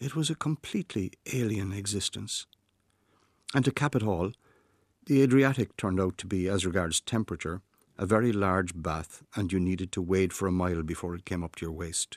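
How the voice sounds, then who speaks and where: Speaking at a fairly quick pace, a man with an Irish accent and a very deep, low pitch uses lively intonation, recorded dry and close with no echo over a very clean, silent background. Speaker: writer. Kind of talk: scripted narration.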